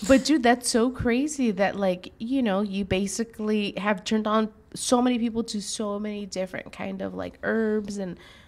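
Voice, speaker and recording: With a Spanish accent, a woman speaks at a moderate pace and a fairly high pitch, hardly pausing and keeping her intonation fairly even. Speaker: show host. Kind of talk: casual chat.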